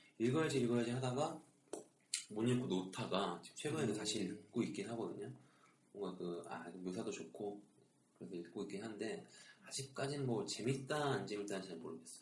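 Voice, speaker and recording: With audible room echo, a man speaks fairly quickly at a fairly low pitch. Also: lively intonation. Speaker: podcast host. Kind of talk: casual chat.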